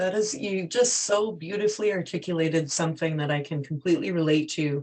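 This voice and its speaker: A woman with a normal speaking voice talks at a fairly quick pace. Her pitch is fairly low, with ordinary pitch variation. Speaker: podcast host. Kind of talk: podcast interview questions.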